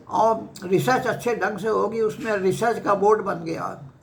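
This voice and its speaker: With ordinary pitch variation, a man speaks amid noticeable background noise and audible room echo. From Uttar Pradesh, Kanpur district. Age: 80s+. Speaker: retired professor and former university vice-chancellor. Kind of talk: life story interview.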